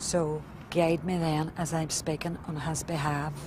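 Speaking at a fairly slow pace in a Northern Irish accent, a woman with a very deep, low pitch comes through over noticeable background noise. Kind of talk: interview recollection.

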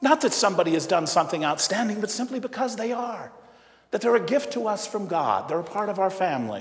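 A man's high-pitched voice races along at a very fast pace. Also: lively intonation. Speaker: priest giving homily. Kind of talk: sermon; in the tearful stretch, a hushed, solemn retelling of a father's grief. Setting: church. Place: church. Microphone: lapel.

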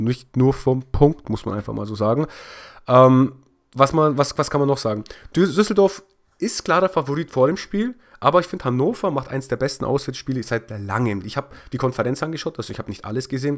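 In an unremarkable speaking voice, a man talks at a fairly quick pace with lively intonation, on a very clean recording with a silent background. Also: medium pitch for a man. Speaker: football highlights YouTuber. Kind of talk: football match recap commentary. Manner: casual, opinionated.

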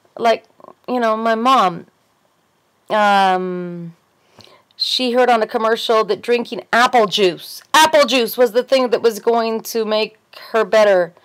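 Speaking with an American accent at a fairly slow pace, the voice shows ordinary pitch variation and long, frequent pauses against a quiet background. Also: woman, fairly high pitch for a woman. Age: 40s. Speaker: video blogger with fibromyalgia. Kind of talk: casual monologue vlog. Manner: animated. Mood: earnest, opinionated. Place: home room. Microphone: webcam.

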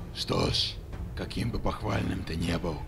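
Over loud background noise, a man uses a put-on character voice with a menacing tone, speaking at a moderate pace. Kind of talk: video game fan dub. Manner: menacing, sarcastic, condescending.

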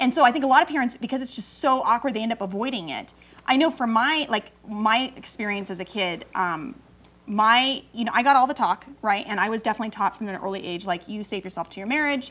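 Talking very fast with lively intonation and big swings in loudness, a woman speaks with an American accent. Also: fairly high pitch for a woman. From California. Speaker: talk show co-host and mom; talk show co-host. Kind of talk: casual chat. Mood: candid, personal storytelling. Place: studio.

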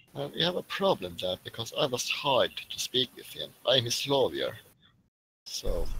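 A raspy put-on character voice from a man, at a moderate pace. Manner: smooth, persistent, needling.

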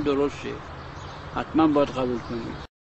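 Against noticeable background noise, a man speaks in a dry sound with no echo. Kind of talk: lecture. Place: garden. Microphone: lapel.

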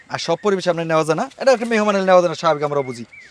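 High-pitched man with ordinary pitch variation over noticeable background noise. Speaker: grass farmer and cutting seller. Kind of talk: casual on-site interview.

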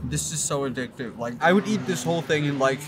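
Music plays in the background as a man talks. His pace is fairly quick, with ordinary pitch variation. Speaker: food vlogger. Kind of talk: casual vlog chat. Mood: enthusiastic, playful. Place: street. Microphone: phone near.

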